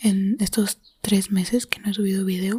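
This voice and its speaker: In a monotone, flat delivery, this woman holds a medium pitch. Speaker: ASMR creator. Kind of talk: casual talk to camera.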